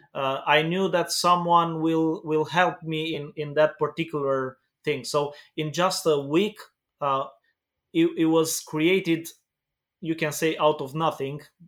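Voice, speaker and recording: A man with a Romanian accent speaks at a fairly slow pace in a fairly high pitch. His intonation is monotone and flat. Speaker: pastor. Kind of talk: interview. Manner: halting.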